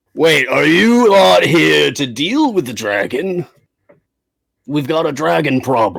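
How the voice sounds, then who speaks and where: Here is a put-on character voice. It moves at a fairly slow pace. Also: man, fairly high pitch for a man. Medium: actual play. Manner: gloomy, fatalistic.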